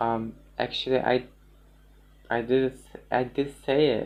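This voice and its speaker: With a non-native accent, a man speaks at a very slow pace in a monotone, flat voice. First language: not English. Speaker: musician. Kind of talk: casual chat. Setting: livestream. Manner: halting, many fillers.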